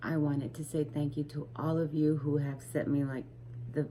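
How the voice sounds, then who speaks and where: Soft-spoken and somewhat breathy, a woman talks at a moderate pace with a very deep, low pitch and a dark, mellow tone. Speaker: crochet vlogger. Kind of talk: casual vlog chat. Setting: home at night. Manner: soft-spoken, keeping voice low; hesitant, many fillers.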